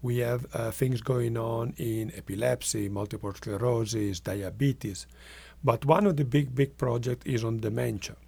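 An Italian accent in a somewhat breathy, dark, mellow tone, with ordinary pitch variation at a moderate pace. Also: man, medium pitch for a man. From northwest Italy. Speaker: medical researcher. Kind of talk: interview.

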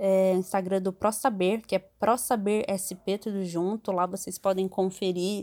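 A woman with a normal speaking voice talks at a medium pitch and a fairly slow pace in a very clean recording with a silent background. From interior of São Paulo state, Brazil. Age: 30s. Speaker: NGO worker. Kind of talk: casual chat.

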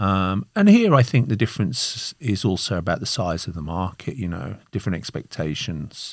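A very deep, low male voice with a Birmingham accent, lively intonation, moderate pace and hardly any pauses, on a very clean recording with a silent background. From Birmingham, England. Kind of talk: interview.

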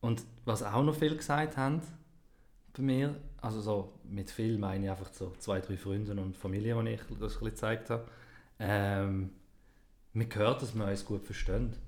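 Somewhat breathy and with a Swiss accent, the speaker goes at a fairly slow pace with long, frequent pauses and ordinary pitch variation. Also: man, fairly low pitch for a man. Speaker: podcast co-host. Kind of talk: casual chat. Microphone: new microphone.

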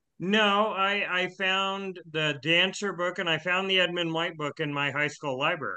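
Hardly pausing, a man with a high pitch talks at a moderate pace with fairly even intonation. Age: 60s. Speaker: podcast guest. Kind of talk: casual chat. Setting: remote call.

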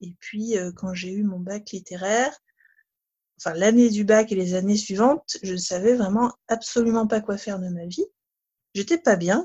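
Fairly slow and somewhat breathy, a woman's medium-pitched voice has a dark, mellow tone, ordinary pitch variation, big swings in loudness, and long, frequent pauses. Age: 30s. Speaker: sophrologist. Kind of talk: testimony. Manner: hesitant, many fillers.

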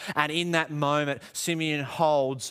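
In a very clean recording with a silent background, a man with an Australian accent talks at a fairly slow pace. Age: 30s. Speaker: pastor. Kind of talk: sermon.

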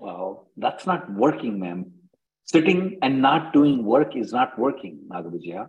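Pitched in the medium range, a man talks fairly slowly with vocal fry, his pitch swinging very widely and his loudness rising and falling sharply. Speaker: immigration attorney. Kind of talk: live Q&A conference call answering callers' immigration questions. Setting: video conference call.

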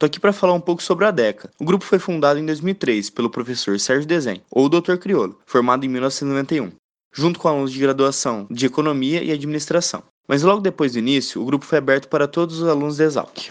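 A man speaks at a very fast pace, his pitch fairly high with ordinary variation. The background is quiet. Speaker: agronomy student. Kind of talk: scripted announcement.

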